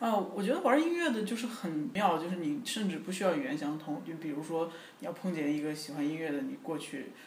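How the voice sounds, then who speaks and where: Amid noticeable background noise and audible room echo, a man speaks at a fairly quick pace in a high pitch with lively intonation. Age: young. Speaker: pop singer. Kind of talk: interview. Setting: at home.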